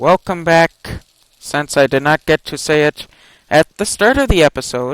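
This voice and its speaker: The voice moves at a moderate pace with ordinary pitch variation, in a dry, close sound with no echo. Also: man, fairly high pitch for a man. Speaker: gaming youtuber. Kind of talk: gameplay commentary. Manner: halting.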